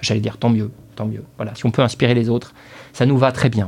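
A man talks very fast at a medium pitch. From northern France, Dunkirk area. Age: 40s. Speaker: CEO of a mortgage broker. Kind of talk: interview. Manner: halting, many repetitions.

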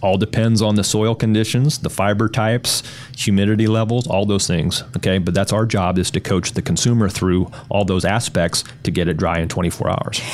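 Fairly low-pitched, a man talks at a moderate pace with fairly even intonation and very even loudness over noticeable background noise. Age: 50s. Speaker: carpet cleaning business owner. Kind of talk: interview.

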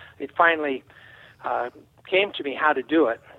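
At a fairly quick pace, a man talks in a plain, everyday voice with fairly even intonation. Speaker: aerobatic pilot, flight experience business owner. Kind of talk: interview.

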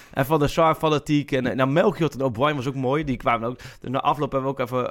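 A man's fairly high voice, very fast pace and fairly even intonation. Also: hardly any pauses. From eastern Netherlands. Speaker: football journalist. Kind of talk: casual chat.

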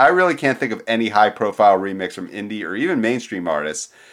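This is an unremarkable speaking voice: a man at a medium pitch with an American accent and lively intonation. The recording is very clean, with a silent background. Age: 40s. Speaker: music podcast co-host. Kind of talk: casual chat.

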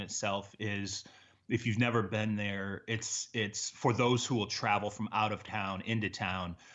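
Pitch varies in an ordinary way here. It is a plain, everyday voice. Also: man. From Michigan, US Midwest. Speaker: NFL reporter. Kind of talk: casual interview.

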